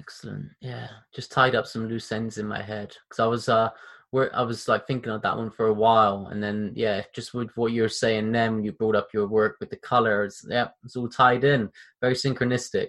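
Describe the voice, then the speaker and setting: In a British accent, a man speaks at medium pitch and a moderate pace. The background stays quiet. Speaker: podcast host. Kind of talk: casual interview. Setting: video call. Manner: animated, casual.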